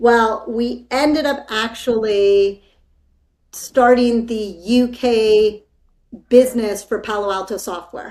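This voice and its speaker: A woman with a Spanish accent speaks at a very slow pace, with a fairly high pitch and fairly even intonation. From California. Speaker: business executive. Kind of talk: interview.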